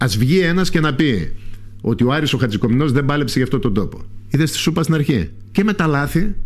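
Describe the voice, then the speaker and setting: Speaking at a fairly quick pace, a man with a fairly high pitch swings very widely in pitch, keeps his loudness very even and shows vocal fry. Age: 60s. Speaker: parliamentary candidate. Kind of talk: radio interview. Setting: radio studio.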